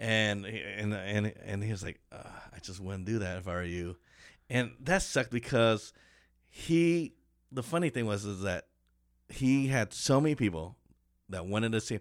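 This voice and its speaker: Pausing long and often, a man with a fairly low pitch speaks at a moderate pace with lively intonation and big swings in loudness, on a very clean recording with a silent background. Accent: American. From Kansas City, Kansas. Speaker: stand-up comedian. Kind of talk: casual chat. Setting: studio.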